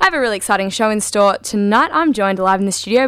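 The speech comes at a very fast pace with lively intonation over noticeable background noise. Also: woman. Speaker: radio host. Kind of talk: radio dj patter. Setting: studio. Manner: upbeat, bright, fluent.

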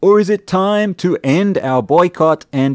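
The background is quiet. A man speaks very slowly with very wide pitch swings. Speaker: radio host. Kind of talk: radio show host patter, scripted-sounding. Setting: radio studio broadcast. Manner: clear, measured, informative.

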